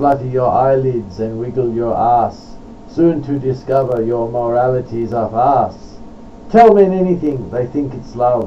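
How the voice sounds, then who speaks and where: At a fairly slow speed, a man uses ordinary pitch variation while noticeable noise sounds around him. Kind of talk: poetry reading.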